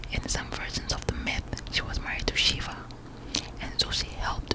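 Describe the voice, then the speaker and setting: A breathy whispering woman at a moderate pace, over noticeable background noise. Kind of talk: ASMR whispered book reading. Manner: whispered, breathy.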